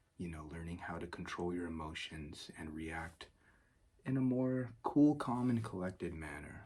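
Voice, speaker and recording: A soft-spoken man talks at a moderate pace in a very deep, low pitch, his tone dark, mellow and relaxed. His voice is somewhat breathy, with lively intonation and big swings in loudness. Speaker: ASMR creator. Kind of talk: self-development ramble, casual talk to camera. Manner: soft-spoken, relaxed.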